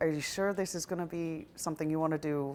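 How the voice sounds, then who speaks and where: Very deep and low for a woman, this voice carries a Canadian accent and ordinary pitch variation at a fairly quick pace. The recording is very clean, with a silent background. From Canada. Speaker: businesswoman and children's author. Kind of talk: documentary interview.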